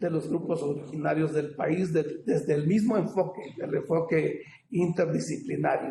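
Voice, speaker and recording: Audible room echo surrounds a man with a high pitch and a dark, mellow tone. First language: Popoluca (speaking Spanish). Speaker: ethnolinguist academic panelist. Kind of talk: academic panel talk. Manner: halting, many fillers.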